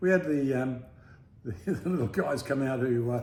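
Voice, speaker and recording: With an Australian accent, a man talks at a moderate pace in a medium pitch, his intonation lively. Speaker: travel vlogger. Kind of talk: casual chat. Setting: apartment.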